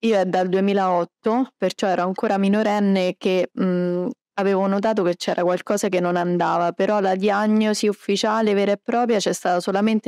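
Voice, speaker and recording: Over a quiet background, a woman speaks at a moderate pace with fairly even intonation in a dry sound with no echo. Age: 30s. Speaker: celiac patient and food blogger. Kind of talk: interview. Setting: medical conference. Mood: calm, positive. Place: hall. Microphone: handheld.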